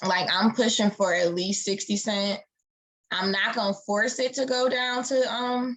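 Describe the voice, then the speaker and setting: Fairly high pitch from a woman with a normal speaking voice, a fairly slow pace and ordinary pitch variation. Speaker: forex trader and educator. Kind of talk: live-streamed market analysis tutorial. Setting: live stream. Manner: casual, with many fillers.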